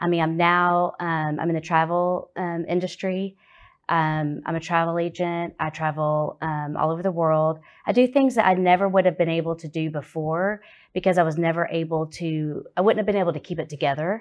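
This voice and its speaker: With an ordinary speaking voice pitched fairly low, a woman talks at a moderate pace using fairly even intonation. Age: 40s. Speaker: recovery group founder and travel agent. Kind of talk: testimony.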